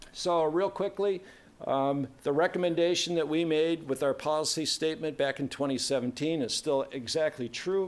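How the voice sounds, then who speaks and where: A man's fairly high-pitched voice with ordinary pitch variation and very even loudness. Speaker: conference presenter. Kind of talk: technical presentation. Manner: fast.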